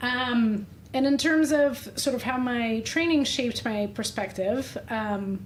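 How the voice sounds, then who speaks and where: The speech comes at a very slow pace. It carries a Russian accent. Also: woman, high pitch for a woman, ordinary pitch variation. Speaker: doctor, menopause specialist. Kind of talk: podcast interview.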